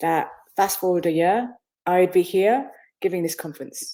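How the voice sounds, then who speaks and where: Her tone dark and mellow, a woman speaks at a moderate pace and medium pitch with ordinary pitch variation. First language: Bengali. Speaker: business consultant and author. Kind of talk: interview. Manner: animated.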